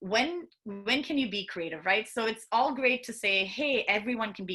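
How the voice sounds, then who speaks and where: Speaking at a moderate pace with an Indian accent, a woman uses ordinary pitch variation. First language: Hindi. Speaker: product manager and children's book author. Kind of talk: conference talk. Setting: virtual conference.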